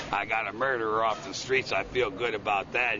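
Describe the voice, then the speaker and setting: Noticeable background noise sits behind a man's fairly low voice. He speaks at a fairly quick pace in a monotone, flat intonation. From Chicago, Illinois. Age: 60s. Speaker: Vietnam veteran. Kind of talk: news interview answer.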